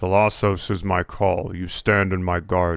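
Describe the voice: On a very clean recording with a silent background, a man uses a put-on character voice at a very deep, low pitch with monotone, flat intonation.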